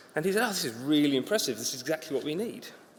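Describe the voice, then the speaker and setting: A man at a very fast pace and fairly high pitch, with lively intonation and noticeable background noise. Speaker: conference speaker, infrastructure consultant. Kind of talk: conference talk. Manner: casual, humorous.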